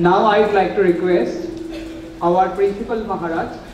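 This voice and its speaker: A high-voiced man at a moderate pace, with ordinary pitch variation, audible room echo and light background noise. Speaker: event emcee. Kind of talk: formal announcements. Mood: formal, polite. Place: hall. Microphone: podium.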